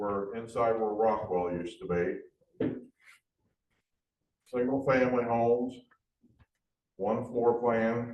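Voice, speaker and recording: A man's very slow, flat monotone with long, frequent pauses and audible room echo. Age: 60s. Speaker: audience member. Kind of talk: audience question.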